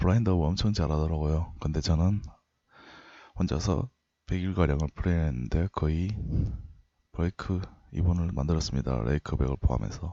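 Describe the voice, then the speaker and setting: With a very deep, low pitch and lively intonation, a man talks at a fairly quick pace, his loudness very even and his pauses long and frequent. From Daegu, South Korea (Gyeongsang region). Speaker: poker coach. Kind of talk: lecture.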